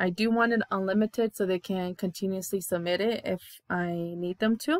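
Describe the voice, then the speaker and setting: A woman's plain, everyday voice, medium in pitch, with fairly even intonation and a dry, close sound with no echo. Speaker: teacher. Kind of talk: tutorial.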